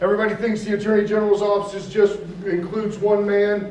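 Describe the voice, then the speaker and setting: Noticeable background noise and audible room echo surround the recording. A man speaks at a high pitch. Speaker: state attorney general's public outreach coordinator. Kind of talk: public talk.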